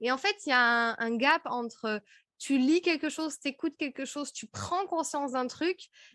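Recorded very cleanly against a silent background, a woman speaks at a moderate pace in a high, bright, sharp voice with an animated tone and lively intonation. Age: 30s. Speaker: podcast host and speaking coach. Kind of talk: interview as guest, casual conversation. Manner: animated, many fillers.

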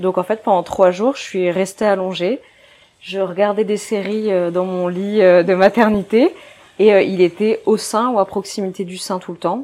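Here a woman speaks at a medium pitch. Her pace is fairly slow and her intonation fairly even. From northern France, Dunkirk. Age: 20s. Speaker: physiotherapist and mother. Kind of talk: personal testimony interview. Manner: casual, hesitant with fillers.

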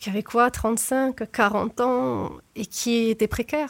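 The recording is very clean and dry, close-miked with no echo and a silent background, and the intonation stays fairly even. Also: woman. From southern France. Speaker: former neuroscience researcher. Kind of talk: interview. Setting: studio.

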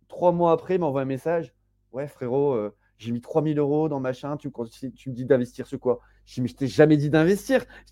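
Man's dark, mellow voice, fairly high in pitch, with ordinary pitch variation at a moderate pace. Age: 30s. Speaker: web3 entrepreneur and incubator co-founder. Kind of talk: casual interview. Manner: casual, many fillers and hesitations.

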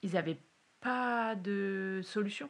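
A woman's voice at medium pitch. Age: 30s. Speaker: university lecturer and PhD student. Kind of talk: testimony. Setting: at the host's home. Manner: hesitant, many fillers.

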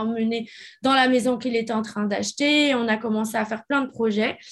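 A quiet background sits behind the voice. Its intonation is fairly even. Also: woman. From France. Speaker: reality TV personality. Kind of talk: testimony. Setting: remote recording.

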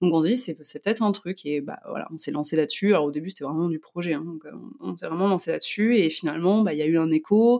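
At a very fast pace, a woman speaks with a fairly low pitch, a dark, mellow tone and ordinary pitch variation. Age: 30s. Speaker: magazine editor and blogger. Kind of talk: casual interview.

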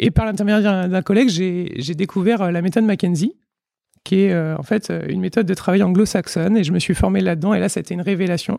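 A man talks at a fairly quick pace with fairly even intonation. His voice is high in pitch yet dark and mellow in tone. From Vendée, western France. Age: 30s. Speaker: physiotherapist. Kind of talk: interview conversation. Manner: halting, many fillers and repetitions.

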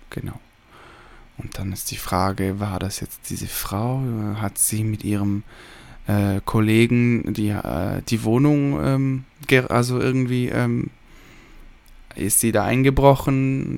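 A man with a fairly low pitch talks at a very slow pace, leaving long, frequent pauses, with ordinary pitch variation. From Switzerland. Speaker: podcast host, film reviewer. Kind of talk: solo film review monologue. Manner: hesitant, many filler sounds.

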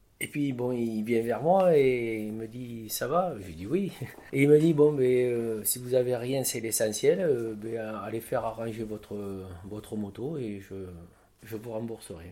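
Amid noticeable background noise, a man speaks at a fairly slow pace with ordinary pitch variation. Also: medium pitch for a man, big swings in loudness. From southwest France, Lot-et-Garonne. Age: 60s. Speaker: crane operator. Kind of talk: interview.

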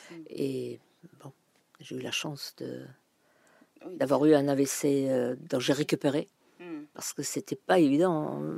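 A woman talks at a very slow pace with long, frequent pauses. The sound is dry and close, with no echo. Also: big swings in loudness. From Germany. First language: German (speaking French). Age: 70s. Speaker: retired language teacher. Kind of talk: interview. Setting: outdoors in garden.

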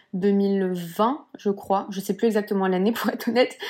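A woman at medium pitch speaks in a flat monotone at a moderate pace, in a very clean recording with a silent background. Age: 20s. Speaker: Pilates teacher and entrepreneur. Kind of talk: casual interview chat. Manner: hesitant, many fillers.

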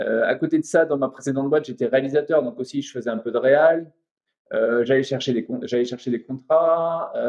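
A man's unremarkable speaking voice, fairly high in pitch, with ordinary pitch variation at a moderate pace. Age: 40s. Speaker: animation studio co-founder. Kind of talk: interview.

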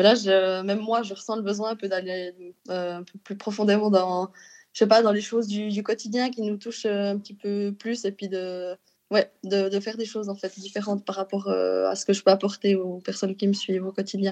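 Against a quiet background, a woman with a medium pitch talks at a moderate pace in monotone, flat intonation with big swings in loudness. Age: 30s. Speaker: Instagram influencer. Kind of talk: interview. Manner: laughing often.

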